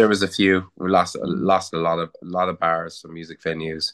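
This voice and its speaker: Against a quiet background, a man with a very deep, low voice talks at a fairly quick pace in a flat monotone, the sound dry and close with no echo. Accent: Cork. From Cork, Ireland. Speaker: rock musician and songwriter. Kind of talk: casual interview chat.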